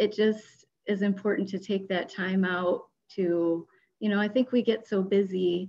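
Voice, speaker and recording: In an American accent, a woman with a medium pitch and a dark, mellow tone talks at a fairly slow pace. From US Midwest. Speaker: volunteer coordinator; panelist. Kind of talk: panel discussion. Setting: video call. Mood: warm, positive. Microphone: video call.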